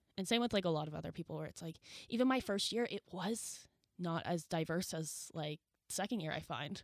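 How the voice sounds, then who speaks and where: At a fairly quick pace, a woman talks in an unremarkable speaking voice with ordinary pitch variation. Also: fairly low pitch for a woman, very clean recording, silent background. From New Brunswick, Canada. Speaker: podcast co-host, media production student. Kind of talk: casual chat.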